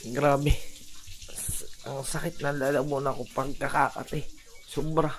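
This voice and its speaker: Amid noticeable background noise, a man speaks at a fairly slow pace in a fairly high pitch with monotone, flat intonation. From Batangas, Philippines. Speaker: vlogger. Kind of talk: casual vlog narration. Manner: strained, halting.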